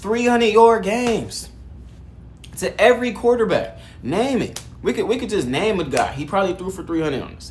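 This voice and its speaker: Amid audible room echo, a man talks at a fairly quick pace with a high pitch and lively intonation. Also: big swings in loudness. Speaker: sports commentator. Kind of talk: casual video commentary. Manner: fast, stuttering; animated.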